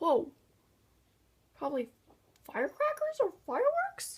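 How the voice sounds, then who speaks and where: The speaker whispers at a very slow pace. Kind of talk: casual talk while filming. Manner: whispered.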